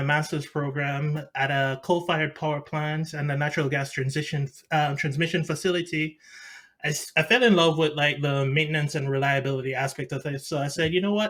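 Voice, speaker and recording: In a very clean recording with a silent background, a man speaks at a fairly quick pace. His fairly high voice has a bright, sharp tone and fairly even intonation. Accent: Jamaican. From Jamaica. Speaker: mechanical engineer. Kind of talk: interview. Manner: halting.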